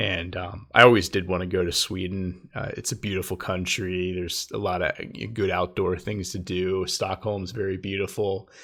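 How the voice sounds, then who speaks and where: The voice has an American accent and monotone, flat intonation. The recording is very clean, with a silent background. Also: man, very deep, low pitch for a man, moderate pace. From United States. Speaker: YouTuber. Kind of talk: storytelling monologue. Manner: halting, many fillers; casual.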